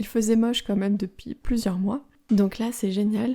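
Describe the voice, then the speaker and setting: Her voice is fairly high for a woman, somewhat breathy and dark, mellow in tone, delivered in a flat monotone. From France. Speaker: French teacher podcaster. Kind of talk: language-learning podcast monologue. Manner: slow, clear.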